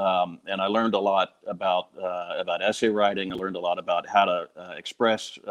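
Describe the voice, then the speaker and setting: A man speaks at a moderate pace in a fairly low voice, his intonation flat and monotone. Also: hardly any pauses. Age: 50s. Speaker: falconer. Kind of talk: testimonial. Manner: halting, many repeated words.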